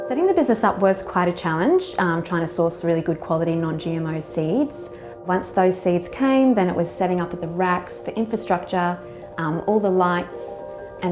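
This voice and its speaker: With a slight New Zealand accent, a woman speaks at a moderate pace in a fairly low voice with ordinary pitch variation while music plays behind her. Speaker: microgreens grower. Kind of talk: interview answer.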